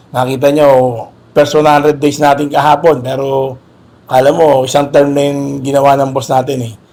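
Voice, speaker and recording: A man with a dark, mellow tone speaks at a fairly high pitch in a monotone, flat intonation. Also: moderate pace. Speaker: police officer. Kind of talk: on-site interview. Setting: outdoors. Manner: formal.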